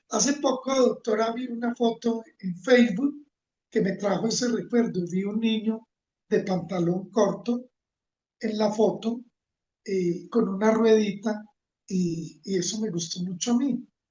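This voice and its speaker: This man has a high voice with ordinary pitch variation and talks at a fairly slow pace. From Colombia, Manizales (paisa region). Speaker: environmental leader and engineer. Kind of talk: interview.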